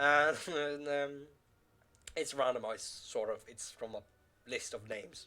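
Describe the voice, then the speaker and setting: A man with a Norwegian accent, with long, frequent pauses. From Norway. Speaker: gaming YouTuber. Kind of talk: gameplay commentary. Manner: halting, many fillers.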